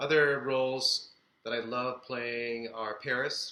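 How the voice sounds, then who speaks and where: A man with medium pitch speaks fairly slowly in a flat, monotone delivery. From Philippines (Manila), moved to Chicago at 12. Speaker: actor. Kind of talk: interview. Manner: hesitant, many fillers.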